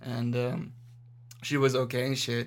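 A man with an American accent, medium in pitch, at a fairly slow pace. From Las Vegas, Nevada, US. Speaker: witness of a mass shooting. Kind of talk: casual chat. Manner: animated.

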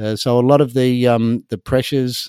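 A man with an Australian accent, dark and mellow in tone, fairly quick with fairly even intonation, on a very clean recording with a silent background and a dry, close sound with no echo. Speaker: marine conservation NGO co-founder. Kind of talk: interview.

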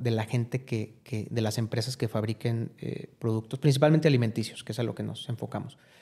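Dark, mellow tone from a man at a fairly quick pace with fairly even intonation, on a very clean recording with a silent background. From Mexico, León (Guanajuato). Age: 30s. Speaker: businessman and philanthropist. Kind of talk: interview conversation. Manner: hesitant, many fillers.

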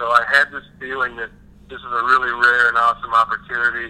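Noticeable background noise beneath a fairly quick pace. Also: man. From western Kentucky (Ballard County). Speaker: head brewer. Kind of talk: podcast interview.

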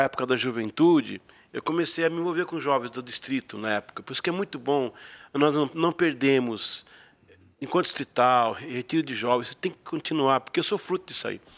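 This man has a plain, everyday voice and lively intonation at a moderate pace. The sound is dry and close, with no echo. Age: 50s. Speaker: pastor. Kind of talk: casual chat.

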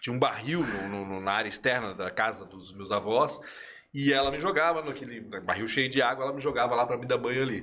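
The man's voice has a bright, sharp tone at a medium pitch with ordinary pitch variation. He speaks at a fairly quick pace with big swings in loudness. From Chile. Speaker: journalist. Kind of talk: casual chat.

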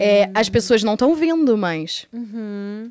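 Dark, mellow tone in a woman's fairly high voice. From Rio de Janeiro, Brazil. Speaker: adult content creator. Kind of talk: casual interview. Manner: animated. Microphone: too far from mic at start.

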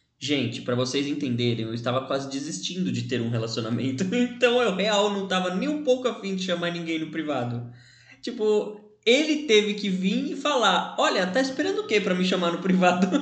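A man speaks at a fairly quick pace in a high voice, his pitch swinging very widely. Noticeable background noise and audible room echo fill the recording. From Brazil, São Bernardo do Campo (São Paulo area). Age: 20s. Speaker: podcast co-host. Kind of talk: casual chat.

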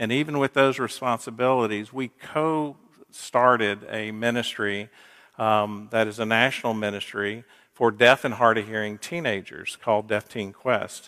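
Very clean recording with a silent background, a man in an American accent at medium pitch, bright, sharp tone, fairly even intonation and moderate pace. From US South, Gainesville, Florida. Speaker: minister, guest preacher. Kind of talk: sermon.

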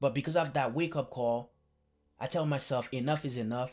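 Against a quiet background, a man with a fairly high, somewhat breathy voice talks at a moderate pace with fairly even intonation. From Haiti (Port-au-Prince). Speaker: podcast host, college mentor. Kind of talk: motivational monologue.

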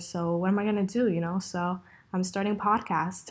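A woman speaks in a flat monotone at a fairly quick pace. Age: young. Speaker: podcaster and former YouTuber. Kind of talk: casual solo chat. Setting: home recording with new mic.

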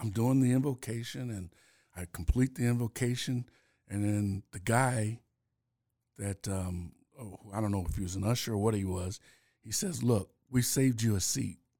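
A man with a fairly low pitch and a dark, mellow tone talks at a moderate pace, his pitch varying in an ordinary way, with long, frequent pauses. The recording is very clean with a silent background, and the sound is dry and close with no echo. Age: 60s. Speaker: former state senator. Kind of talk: interview. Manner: halting.

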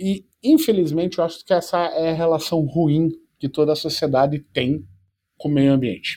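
A man with a fairly high pitch and a dark, mellow tone talks at a moderate pace, his pitch varying in an ordinary way. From Curitiba, southern Brazil (born in Portugal, moved as child). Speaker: startup founder. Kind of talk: interview.

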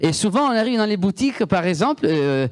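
A man's intonation is lively, and the background stays quiet. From Italy. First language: Italian (speaking French). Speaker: guest preacher. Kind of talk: sermon.

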